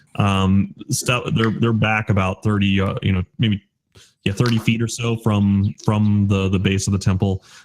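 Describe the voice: A quiet background behind plain reading aloud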